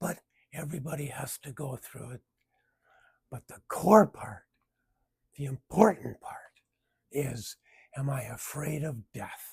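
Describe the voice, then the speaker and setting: Somewhat breathy and fairly high-pitched, a man speaks with ordinary pitch variation, big swings in loudness and long, frequent pauses, the sound dry and close with no echo. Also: fairly slow pace. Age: 70s. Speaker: video blogger sharing cancer story. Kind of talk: personal reflective monologue.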